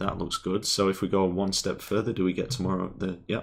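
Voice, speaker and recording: A man speaks with an English accent in a fairly low pitch. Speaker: programming tutorial streamer. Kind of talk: live coding tutorial. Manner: casual, thinking aloud.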